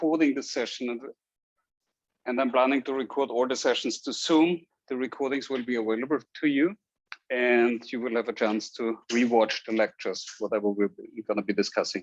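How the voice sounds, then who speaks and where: A man with an Austrian accent, medium pitch, ordinary pitch variation, and a fairly quick pace. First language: German. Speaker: university statistics instructor. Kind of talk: lecture. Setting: classroom with Zoom recording. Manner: hesitant with fillers.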